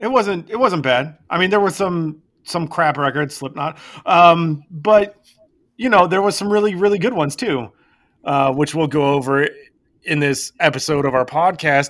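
At a moderate pace, the speaker uses lively intonation in an unremarkable speaking voice. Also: man, fairly high pitch for a man. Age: 40s. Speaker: podcast co-host. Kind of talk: casual chat.

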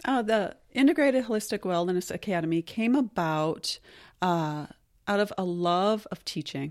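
A woman with an ordinary speaking voice, medium pitch, lively intonation and moderate pace, on a very clean recording with a silent background. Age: 40s. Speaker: massage therapist and wellness school owner. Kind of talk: casual interview.

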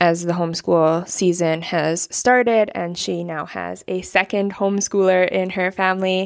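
A normal speaking voice talks at a moderate pace with fairly even intonation. The recording is very clean, with a silent background. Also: woman. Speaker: podcast host. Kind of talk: interview conversation on podcast.

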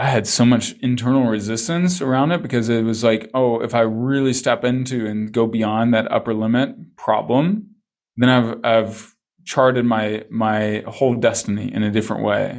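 Here a man speaks in a plain, everyday voice at a medium pitch with ordinary pitch variation. His pace is moderate, and the recording is very clean with a silent background. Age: 40s. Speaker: business coach and speaker. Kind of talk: interview conversation.

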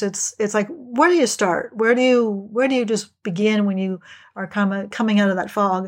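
In a normal speaking voice, a woman talks at a moderate pace with a fairly high pitch. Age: 60s. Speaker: executive and life coach. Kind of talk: interview.

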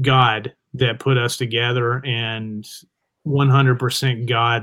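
This speaker has a Southern US accent and fairly even intonation. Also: man. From US South. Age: 40s. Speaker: rock guitarist and producer. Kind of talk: casual interview.

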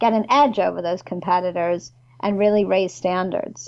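A woman speaks with a New York accent. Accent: New York American. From New York, US. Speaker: complaints consultant and former ombudsman. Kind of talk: casual interview chat. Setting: video call.

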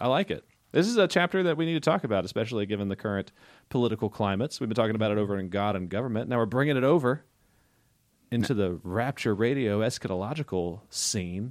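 A man at a medium pitch talks at a very fast pace with lively intonation in a very clean recording with a silent background. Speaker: podcast host. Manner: reads scripture aloud.

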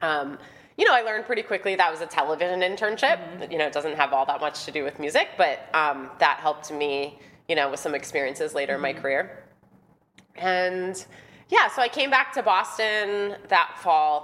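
A woman with an ordinary speaking voice, fairly low in pitch, at a fairly quick pace with lively intonation. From Wisconsin. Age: 30s. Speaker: music manager and entrepreneur. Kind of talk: casual interview. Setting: studio.

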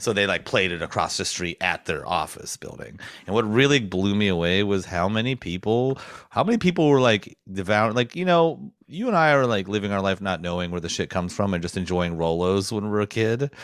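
On a very clean recording with a silent background, a man with an American accent and a plain, everyday voice speaks at a fairly quick pace with a fairly low pitch and lively intonation. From rural snowy US farmland. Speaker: podcast co-host and tradesman. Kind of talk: casual chat. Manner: laughs often.

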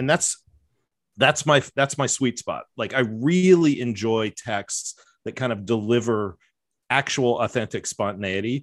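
Against a quiet background, a man with an ordinary speaking voice talks fairly slowly at medium pitch with ordinary pitch variation. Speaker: professor and podcast host. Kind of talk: casual chat.

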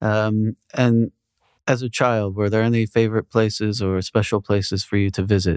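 On a very clean recording with a silent background, a man speaks at a moderate pace in a fairly low pitch, his intonation monotone and flat and his loudness very even. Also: dry, close sound with no echo. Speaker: podcast interviewer. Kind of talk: interview Q&A, casual conversation.

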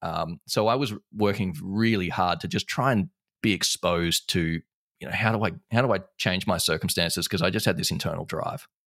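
With an Australian accent, the speaker moves at a fairly quick pace in a dry, close sound with no echo. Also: man, fairly low pitch for a man, ordinary pitch variation. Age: 30s. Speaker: entrepreneur and business owner. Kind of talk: casual interview chat.

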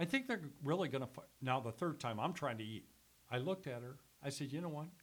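At a very fast pace, a man with a fairly high pitch speaks in an animated tone with ordinary pitch variation. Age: 60s. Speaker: former radio sales executive and sports announcer. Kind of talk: casual chat. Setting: studio. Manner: animated, joking.

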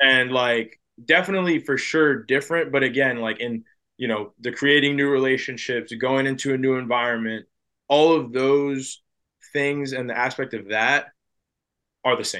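A man's medium-pitched voice in an American accent, bright and sharp in tone, at a moderate pace with fairly even intonation, over a quiet background. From New Jersey, US. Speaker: baseball prospect. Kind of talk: interview conversation.

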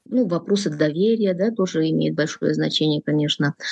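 A woman with a very deep, low pitch at a moderate pace, in a dry, close sound with no echo. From Kyrgyzstan. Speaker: political analyst. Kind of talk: interview. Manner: hesitant with many fillers.

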